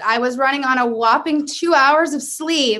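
A woman with an American accent, high-pitched and raised in a projected voice, with ordinary pitch variation. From US East Coast, Maryland. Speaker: music marketing director. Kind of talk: casual chat.

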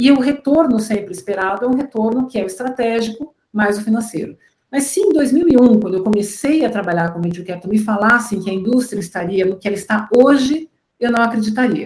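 Talking at a fairly quick pace, a woman has an unremarkable speaking voice, a fairly high pitch and ordinary pitch variation. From Brazil, Curitiba. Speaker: venture capital investor. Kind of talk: interview, explanatory.

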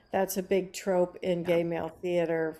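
A woman's fairly low, dark, mellow voice with an American accent and monotone, flat intonation. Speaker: playwright. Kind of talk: casual interview.

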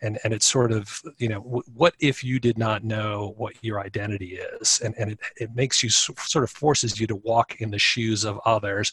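In a dry, close recording with no echo, a man speaks at a fairly low pitch. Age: 50s. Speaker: accounting professor and lawyer. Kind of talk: interview. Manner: halting, many repetitions.

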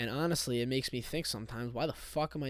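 On a very clean recording with a silent background, a man in an unremarkable speaking voice talks fairly quickly at a medium pitch, with ordinary pitch variation. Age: 20s. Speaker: podcast host. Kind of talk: solo casual monologue.

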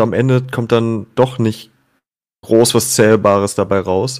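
This is a man with an ordinary speaking voice. His pitch is medium and his intonation fairly even. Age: 30s. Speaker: music podcaster, football fan guest. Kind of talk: casual chat.

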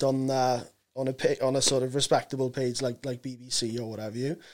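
A man with a South Wales accent at a moderate pace. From Wales, Swansea. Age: 30s. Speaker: comedian. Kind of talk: casual chat. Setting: studio. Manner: halting.

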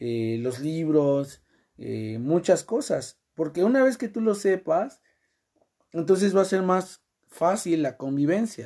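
In a Mexican accent, the speaker talks at a very slow pace in a dark, mellow tone on a very clean recording with a silent background. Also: man. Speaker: podcast host. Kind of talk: casual chat.

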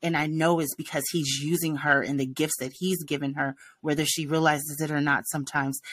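A woman with a very deep, low voice and an American accent, fairly quick, fairly even in intonation, in a very clean recording with a silent background. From Los Angeles, California. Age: 40s. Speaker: podcast co-host and music teacher. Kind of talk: casual chat.

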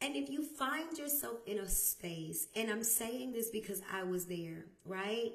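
A woman speaks loudly at a fairly slow pace with hardly any pauses. Her fairly high voice moves through very wide pitch swings. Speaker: podcast host. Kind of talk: motivational talk.

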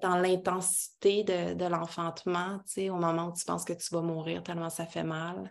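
Woman with a fairly low pitch and a Quebec accent, monotone, flat intonation, moderate pace and hardly any pauses, over a quiet background. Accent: Québécois French. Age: 30s. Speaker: women's circle facilitator. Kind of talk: casual interview.

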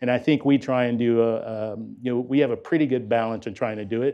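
Fairly quick and fairly even in intonation, a man speaks at a medium pitch in an ordinary speaking voice. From US inner city. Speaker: corporate executive running apprenticeship program. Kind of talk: panel discussion.

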